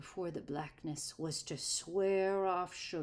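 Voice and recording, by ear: A natural voice reading aloud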